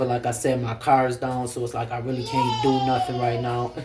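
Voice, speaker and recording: A man at medium pitch in a monotone, flat delivery, with audible room echo and noticeable background noise. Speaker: vlogger. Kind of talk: casual vlog talk to camera. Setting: at home. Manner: fast.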